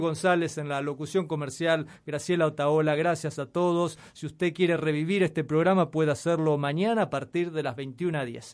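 Fairly high male pitch, fairly even intonation, and a moderate pace from a man. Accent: Rioplatense. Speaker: radio host. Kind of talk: scripted announcement; radio interview. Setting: radio studio.

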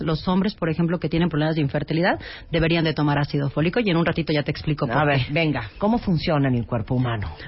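A woman with a very deep, low pitch speaks at a very fast pace with hardly any pauses, somewhat breathy and with lively intonation. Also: very even loudness. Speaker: gynecologist. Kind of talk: interview.

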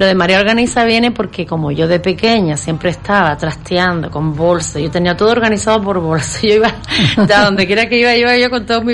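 A woman speaks fairly quickly, her pitch varying in an ordinary way, with noticeable noise in the background. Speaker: professional organizer. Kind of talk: casual interview.

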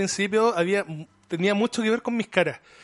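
Music plays in the background as the voice moves at a fairly quick pace with fairly even intonation, the sound dry and close with no echo. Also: man. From Chile, Conchalí (Santiago). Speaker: professional wrestler. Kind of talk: casual chat.

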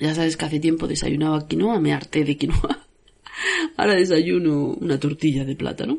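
A woman with a very deep, low pitch and ordinary pitch variation, over noticeable background noise. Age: 40s. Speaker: podcast host and author. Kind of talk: casual monologue.

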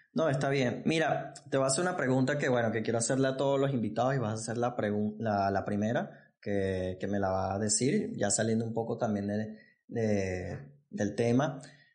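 A man at medium pitch, with ordinary pitch variation and audible room echo. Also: moderate pace. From Venezuela. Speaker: podcast host. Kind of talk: casual interview. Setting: studio set.

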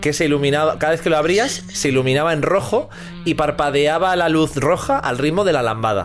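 With music in the background, a man with a fairly high pitch talks at a fairly quick pace in an animated tone, his intonation lively and his loudness very even. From Catalonia, Spain (Terrassa). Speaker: comedy podcast host. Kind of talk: casual comedic chat.

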